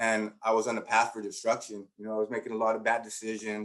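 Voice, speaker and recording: A man with a Spanish accent at a very fast pace and medium pitch. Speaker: education professor. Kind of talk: conference talk. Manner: conversational, many fillers.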